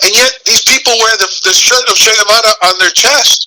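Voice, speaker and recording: Projecting a raised voice, a man with an American accent speaks at a moderate pace in a high, bright, sharp tone, animated and with ordinary pitch variation, in a dry, close sound with no echo. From Cuba, raised mainly in the US. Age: 60s. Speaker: political activist. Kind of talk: political interview. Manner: animated, repetitive stammering.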